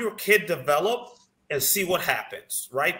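A man's raised, projected voice with an American accent, high in pitch, at a fairly slow pace with lively intonation. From Chicago suburbs (La Grange); Illinois. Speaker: former college basketball player; podcast guest. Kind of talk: casual interview chat. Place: home room.

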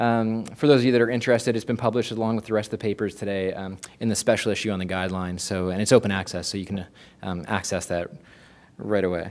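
A man's very fast speech with fairly even intonation. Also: fairly low pitch for a man. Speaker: university professor. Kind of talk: conference presentation. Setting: stage with audience. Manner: repeats words often. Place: hall.

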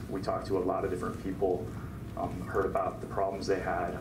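A man at a fairly quick pace, with noticeable background noise. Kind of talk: informal talk to a small audience. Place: meeting room.

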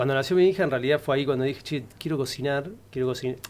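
This man's voice has a fairly high pitch. Its pitch variation is ordinary. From Argentina, San Nicolás (Buenos Aires province); Buenos Aires province, Argentina. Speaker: actor. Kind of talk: casual chat. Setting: studio. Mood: relaxed, amused. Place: studio. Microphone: studio mic.

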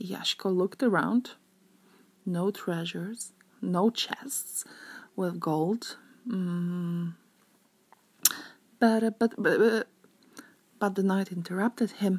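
With a Polish accent, the voice is somewhat breathy and very slow, with ordinary pitch variation and long, frequent pauses. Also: woman, medium pitch for a woman. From Zakopane, Poland. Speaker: tour guide. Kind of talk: read-aloud storytelling of a legend. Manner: hesitant, many filler sounds.

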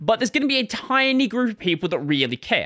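Very wide pitch swings mark a man's speech over a quiet background. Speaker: tech channel host. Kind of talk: commentary. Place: home room. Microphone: studio mic.

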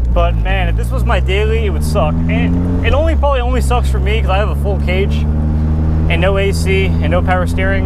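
A man at a fairly quick pace, dry sound with no echo under loud background noise. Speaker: car owner vlogger. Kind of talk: casual vlog chat. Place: car. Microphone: lapel.

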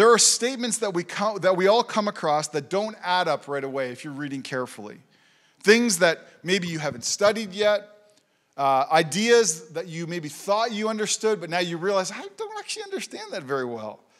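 A man talking at a fairly quick pace, big swings in loudness, quiet background. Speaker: pastor. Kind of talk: sermon. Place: church. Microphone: handheld.

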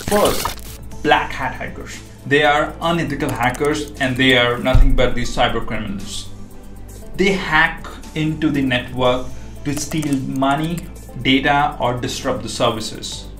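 The speech goes at a fairly slow pace, with audible room echo and clear music in the background. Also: man. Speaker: cybersecurity educator. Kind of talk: tutorial. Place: home room.

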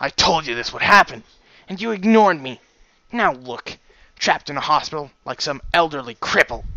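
A put-on character voice from a man, pitched fairly high, moving at a moderate pace. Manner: controlling, angry.

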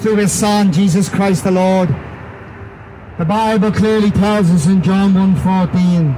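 Very slow speech in an Irish accent, with very even loudness, fairly even intonation and light background noise. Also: man, high pitch for a man. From Ireland. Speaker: street preacher. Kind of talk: street preaching sermon. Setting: outdoors. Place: street. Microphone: handheld.

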